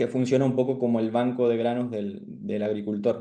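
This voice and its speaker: A man with an Argentine accent speaks at a fairly quick pace and a medium pitch. His tone is dark and mellow, and his intonation is monotone and flat. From Argentina. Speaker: startup founder. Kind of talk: startup pitch. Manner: halting, many fillers.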